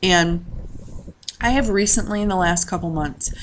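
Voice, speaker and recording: A woman's voice over noticeable background noise. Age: 30s. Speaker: personal finance vlogger. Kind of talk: casual vlog monologue. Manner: halting with many fillers.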